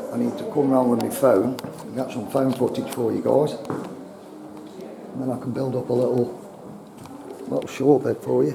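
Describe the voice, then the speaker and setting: A man at a fairly slow pace with long, frequent pauses, plus audible room echo and noticeable background noise. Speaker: urban explorer vlogger. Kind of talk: walkaround vlog narration. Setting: outdoors at historic site with visitors around. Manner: quiet.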